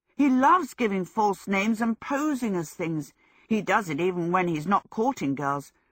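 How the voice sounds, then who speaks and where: At a moderate pace, a put-on character voice with a middle pitch comes through in a very clean recording with a silent background. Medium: read story.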